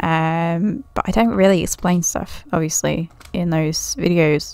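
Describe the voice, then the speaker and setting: A woman speaks in a relaxed tone. Her pitch is fairly low. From Britain. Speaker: gaming YouTuber, Minecraft server builder. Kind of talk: casual gameplay walkthrough commentary. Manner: relaxed, chatty with frequent laughs.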